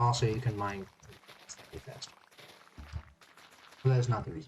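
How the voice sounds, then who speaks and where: A man speaks at a fairly quick pace in a somewhat breathy voice. His intonation stays fairly even while his loudness swings widely. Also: medium pitch for a man. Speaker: gaming streamer. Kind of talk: casual gameplay commentary. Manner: rambling, halting.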